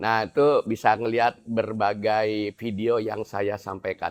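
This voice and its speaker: A man speaks at a very slow pace. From Indonesia, Javanese family raised in Bandung (West Java). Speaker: Islamic preacher. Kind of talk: religious study talk to women's group. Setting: mosque. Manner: casual, conversational.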